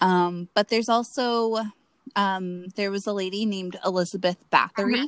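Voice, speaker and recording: In a dry, close recording with no echo, a woman talks at a fairly slow pace and medium pitch with ordinary pitch variation. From Florida, US. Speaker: podcast co-host. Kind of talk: casual chat. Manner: giggly.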